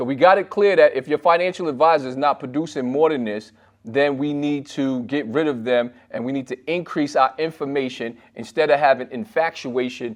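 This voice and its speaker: With a normal speaking voice, a man talks at a moderate pace with hardly any pauses, using a fairly high pitch and ordinary pitch variation against a quiet background. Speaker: financial commentator. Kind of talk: casual financial tutorial.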